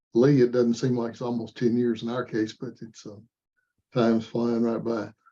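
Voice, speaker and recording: At a moderate pace, a man talks in a dark, mellow tone at medium pitch. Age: 70s. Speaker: firearms training school founder. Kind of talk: casual chat. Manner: halting.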